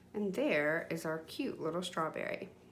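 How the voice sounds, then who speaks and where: This woman's delivery is fairly slow. Her voice carries audible room echo. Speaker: children's art teacher. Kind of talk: tutorial. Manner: animated.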